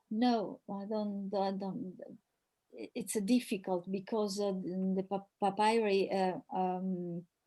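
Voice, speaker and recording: A woman speaks very slowly in an Italian accent, her pitch medium. Her tone is dark and mellow, with fairly even intonation. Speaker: professor. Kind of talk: Q&A after academic talk. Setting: video call webinar. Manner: halting, many repetitions.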